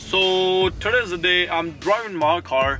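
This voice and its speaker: A man's pitch shifts in an ordinary way while faint music sounds in the background. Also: dry sound with no echo. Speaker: car vlogger. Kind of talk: casual vlog chat. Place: car. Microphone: phone near.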